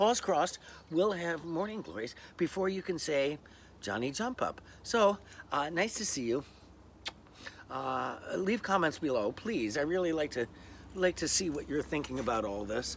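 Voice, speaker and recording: Long, frequent pauses break up a man's speech at a moderate pace. His fairly high voice swings very widely in pitch. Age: old. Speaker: vlogger. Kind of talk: casual vlog monologue. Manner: hesitant, many fillers.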